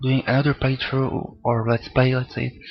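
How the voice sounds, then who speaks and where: A medium-pitched man at a moderate pace, with music in the background. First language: not English. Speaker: gaming let's play commentator. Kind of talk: gameplay commentary. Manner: halting, stuttering.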